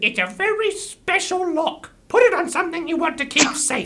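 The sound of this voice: A put-on character voice, female-sounding and extremely high-pitched, at a moderate pace.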